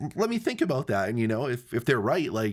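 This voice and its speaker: The speech goes at a very fast pace. It is a very clean recording with a silent background. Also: man. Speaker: filmmaking podcast host. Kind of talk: casual chat.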